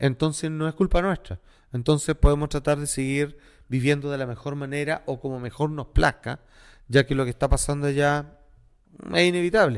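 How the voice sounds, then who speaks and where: On a very clean recording with a silent background, a man with a normal speaking voice talks at a fairly quick pace, his pitch fairly high with ordinary variation. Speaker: podcast co-host. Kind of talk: casual chat.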